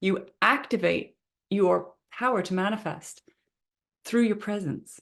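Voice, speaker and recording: Fairly slow and with vocal fry, a woman speaks at a medium pitch with ordinary pitch variation. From Canada, Vancouver. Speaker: manifestation coach. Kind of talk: online training session.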